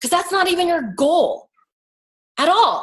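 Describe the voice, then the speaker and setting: Her tone animated, a woman speaks. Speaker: makeup artist and business coach. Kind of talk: online coaching talk. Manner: fast when excited.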